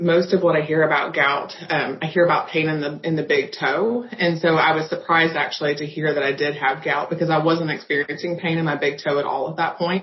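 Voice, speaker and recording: Noticeable background noise sits under this clip. A woman with a fairly low pitch talks at a very fast pace. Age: 30s. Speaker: patient. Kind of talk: testimony.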